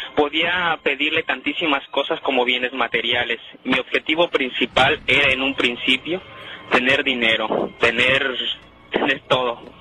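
With noticeable background noise, a man speaks fairly slowly at a medium pitch with fairly even intonation. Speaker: self-described satanist interviewed on a paranormal radio show. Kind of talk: interview answer. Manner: hesitant, halting.

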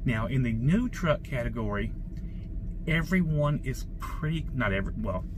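A man at medium pitch, moderate pace and lively intonation, with clear background noise.

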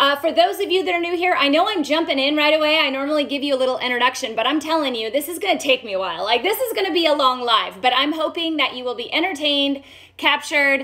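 A woman speaks very fast with hardly any pauses, her raised, projected voice full of lively intonation. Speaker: doctor hosting a health live stream. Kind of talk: live stream health talk. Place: home room.

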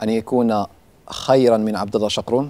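This man's medium-pitched voice has a dark, mellow tone, fairly even intonation and a moderate pace. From Morocco, Tetouan. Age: 20s. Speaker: inventor. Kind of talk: interview.

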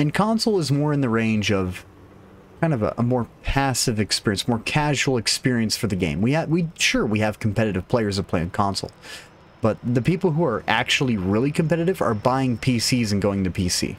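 This man talks at a fairly quick pace with lively intonation. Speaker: game streamer. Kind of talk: casual commentary.

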